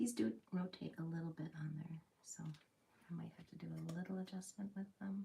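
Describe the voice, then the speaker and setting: A woman's fairly low, somewhat breathy voice, dark and mellow in tone, with ordinary pitch variation and a moderate pace. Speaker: crafting video creator, former machinist. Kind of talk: casual build commentary. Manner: relaxed, calm.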